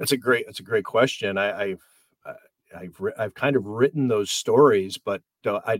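At a medium pitch and moderate pace, a man talks with ordinary pitch variation and an ordinary speaking voice. The sound is dry and close, with no echo. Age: 50s. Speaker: sports journalist. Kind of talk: casual chat.

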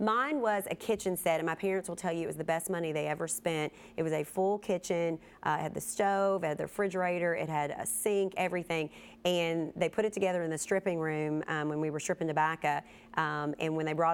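A woman speaks at a fairly quick pace in a Kentucky accent, her pitch fairly low with ordinary variation. The recording is very clean, with a silent background. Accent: Kentucky Southern US. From Kentucky, US. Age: 30s. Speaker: TV news reporter and podcast host. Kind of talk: casual chat.

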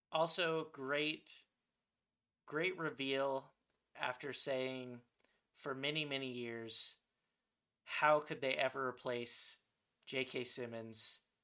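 Speaking very slowly with long, frequent pauses, a man with a Californian accent has a medium-pitched, bright, sharp voice and fairly even intonation. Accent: General American (Californian). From Southern California. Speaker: podcast co-host. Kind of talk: casual chat.

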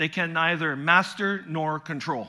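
A man speaks with a fairly high pitch and lively intonation. His tone is bright and sharp. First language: French. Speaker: visiting pastor and preacher. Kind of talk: sermon. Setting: church.

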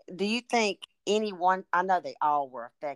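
A woman with an unremarkable speaking voice talks at a moderate pace, fairly low in pitch and lively in intonation. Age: 60s. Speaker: podcast host. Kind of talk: casual interview.

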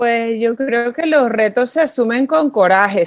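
With a fairly high pitch and lively intonation, a woman speaks very slowly. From Venezuela. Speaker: social entrepreneur. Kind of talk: interview.

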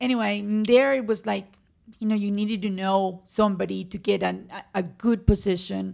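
Delivered at a moderate pace, the speech comes with a Spanish accent. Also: woman. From Colombia, Medellin. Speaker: physician. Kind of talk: interview. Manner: animated.

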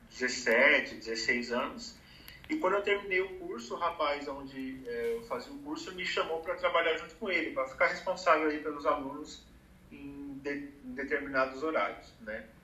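A man with fairly high pitch and very wide pitch swings is heard through audible room echo and noticeable background noise. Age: 30s. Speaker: advertising professional. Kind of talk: casual chat.

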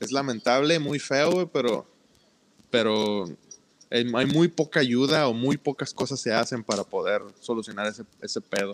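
A man's unremarkable speaking voice, medium in pitch, with ordinary pitch variation, a fairly slow pace and a dry, close sound with no echo. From Mexico, Ciudad del Carmen, Campeche. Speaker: podcast co-host. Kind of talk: casual chat.

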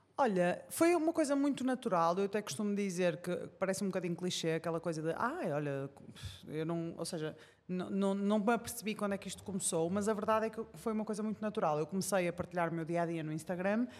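This woman, with a Porto accent, speaks very fast. Her pitch is medium and varies in an ordinary way. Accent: northern Portuguese (Porto). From Portugal, Porto. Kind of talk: casual interview chat. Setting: studio with live audience.

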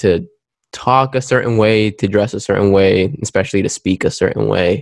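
Against a quiet background, a man with an ordinary speaking voice and an American accent talks at a moderate pace and fairly low pitch, in a dry, close sound with no echo. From Queens, New York, later North Carolina. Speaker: panel guest. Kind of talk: panel discussion.

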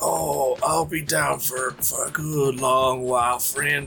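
Clear music plays in the background as a man speaks at a medium pitch. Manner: resigned, wistful.

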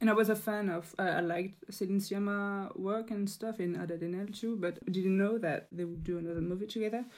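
A woman with a French accent speaks at a fairly quick pace with hardly any pauses, her medium-pitched voice keeping a fairly even intonation. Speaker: podcast guest, French translator. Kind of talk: casual chat; pronunciation tutorial. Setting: remote call, late at night.

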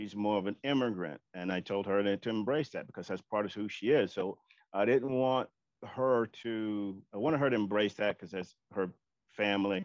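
A man with an American accent and a plain, everyday voice, fairly low in pitch, at a moderate pace with ordinary pitch variation. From US Deep South and Oakland. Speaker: panel guest, father. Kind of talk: casual panel discussion.

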